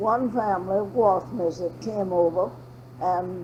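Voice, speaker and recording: A woman with a Southern accent, lively intonation, a moderate pace and noticeable background noise. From Florida (Jacksonville). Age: 90. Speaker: oral history interviewee. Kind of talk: oral history interview. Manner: conversational.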